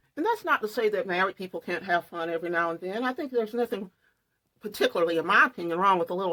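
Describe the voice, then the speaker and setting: A very fast woman's voice, fairly low in pitch and bright and sharp in tone, with ordinary pitch variation and a dry, close sound free of echo. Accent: Southern US. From US South. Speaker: true crime and makeup vlogger. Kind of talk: casual vlog storytelling.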